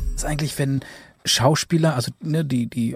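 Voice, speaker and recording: In a very clean recording with a silent background, a man speaks in a dark, mellow, somewhat breathy tone, the sound dry and close with no echo. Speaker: podcast host. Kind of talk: podcast best-of narration with interview clips.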